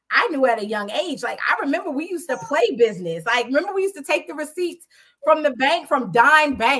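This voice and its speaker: Loud and animated, a woman with an American accent talks at a fairly quick pace in a high pitch with very wide pitch swings. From Jamaica, Queens, New York City. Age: 40s. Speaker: podcast host. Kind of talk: casual chat. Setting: live stream.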